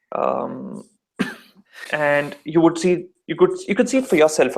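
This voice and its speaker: Over music in the background, a man with an Indian accent speaks at a moderate pace. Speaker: call-in debater. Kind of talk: casual debate. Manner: animated.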